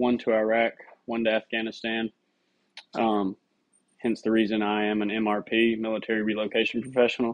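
A man's medium-pitched voice with a Tennessee accent, at a moderate pace. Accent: Southern US (Tennessee). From Middle Tennessee. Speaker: real estate agent and army veteran. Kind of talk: self-introduction video. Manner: casual, with fillers. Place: home room. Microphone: phone near.

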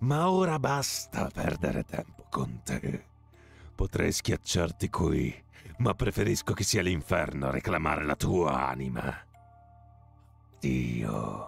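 Using a put-on character voice with a menacing tone, a man speaks at a very deep, low pitch and a fairly slow pace, with long, frequent pauses and faint music in the background. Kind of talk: dramatic gamebook reading. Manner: gloating, menacing, archaic.

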